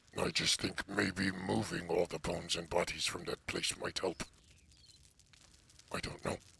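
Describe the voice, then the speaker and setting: A man uses a put-on character voice with a very deep, low pitch. He talks at a moderate pace with long, frequent pauses. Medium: actual play. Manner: plain, slightly foreign phrasing.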